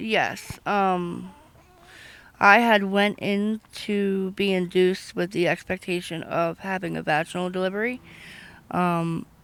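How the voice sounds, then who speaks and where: With an ordinary speaking voice, a woman of medium pitch talks at a fairly slow pace. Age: 20s. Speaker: interviewee on street. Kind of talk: personal testimony.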